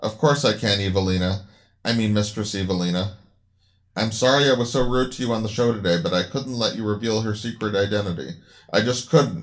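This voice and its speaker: In an unremarkable speaking voice, a man talks at a fairly low pitch and a fairly quick pace, with ordinary pitch variation against a quiet background. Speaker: radio host character voiced in the story. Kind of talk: acted dialogue in a radio show parody.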